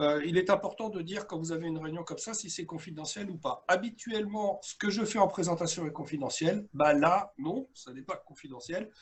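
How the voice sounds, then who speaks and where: A man with a high pitch speaks at a moderate pace with hardly any pauses and big swings in loudness. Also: ordinary pitch variation. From France, Dordogne. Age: 60s. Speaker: coach and workshop trainer. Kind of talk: webinar presentation. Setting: video call. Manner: hesitant, many filler sounds.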